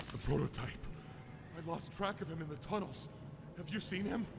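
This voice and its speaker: A man's high-pitched, put-on character voice at a fairly quick pace, over loud background noise. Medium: video game. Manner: emotional, unstable.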